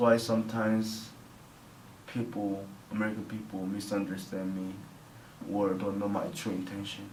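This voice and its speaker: Over noticeable background noise and audible room echo, a man with a fairly low voice speaks in a flat monotone with long, frequent pauses. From South Korea (near Seoul). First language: Korean. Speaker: interviewee, Korean immigrant student. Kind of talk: interview. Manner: halting, non-native phrasing.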